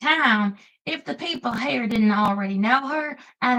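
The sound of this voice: The background stays quiet. An unforced reading voice reads over it.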